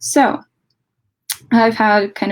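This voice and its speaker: A woman with a Latvian accent. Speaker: debate coach. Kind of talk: lecture.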